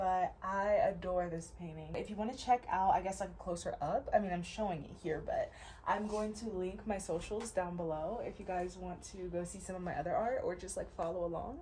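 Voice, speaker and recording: Talking fairly quickly, a woman is heard with audible room echo and noticeable background noise. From US Midwest, Ohio. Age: 20s. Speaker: artist and content creator. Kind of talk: casual chat while painting. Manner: laid back.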